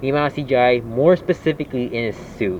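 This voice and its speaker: Noticeable background noise behind a fairly quick delivery. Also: man. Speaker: podcast host. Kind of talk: casual chat.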